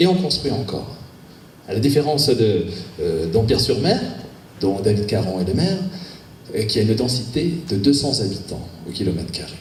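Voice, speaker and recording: A man with a southwestern French accent speaks at a medium pitch and a moderate pace, with very wide pitch swings and long, frequent pauses. Audible room echo and noticeable background noise fill the recording. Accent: southwest French. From southwest France, Agen. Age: 50s. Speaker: local election candidate, business owner. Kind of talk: campaign speech. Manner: hesitant, many fillers.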